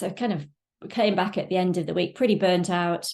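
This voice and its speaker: This woman's voice sits at a medium pitch. Her intonation is fairly even. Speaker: online business coach. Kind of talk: webinar presentation. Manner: fast.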